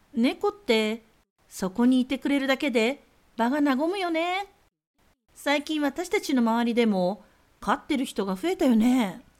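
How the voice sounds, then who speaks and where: With very wide pitch swings, a woman speaks fairly slowly at a high pitch on a very clean recording with a silent background. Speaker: podcast host. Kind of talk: casual chat.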